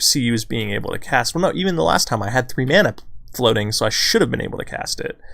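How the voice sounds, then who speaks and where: A man talks quietly at a fairly quick pace. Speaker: gaming streamer. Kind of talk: gameplay commentary.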